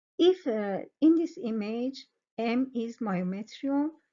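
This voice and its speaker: A woman's very slow speech, high in pitch, with lively intonation and a non-native accent. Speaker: sonography exam tutor. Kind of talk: educational tutorial explanation. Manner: hesitant, many fillers.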